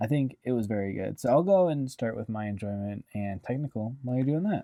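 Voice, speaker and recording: Here is a man with an unremarkable speaking voice at a medium pitch. He moves at a fairly quick pace with lively intonation. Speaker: movie review podcast co-host. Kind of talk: casual movie review chat.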